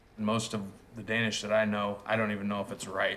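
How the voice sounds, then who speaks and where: A man's fairly low voice, bright and sharp in tone, with a Midwestern US accent. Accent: US Midwest. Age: 40s. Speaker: small-town mayor. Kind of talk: documentary interview. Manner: hesitant, with fillers.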